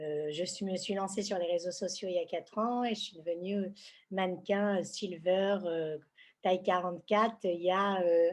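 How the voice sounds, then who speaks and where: A woman with a plain, everyday voice speaks at a medium pitch and a fairly slow pace. Her intonation is fairly even, and the background is quiet. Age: 60s. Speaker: senior fashion model. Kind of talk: interview. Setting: podcast recording.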